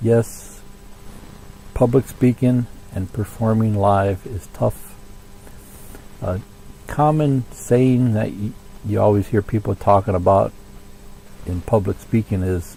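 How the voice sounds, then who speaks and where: Over noticeable background noise, a man speaks very slowly with long, frequent pauses. His pitch is fairly low, with ordinary variation. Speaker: music teacher giving band advice. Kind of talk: tutorial. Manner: casual, with many fillers.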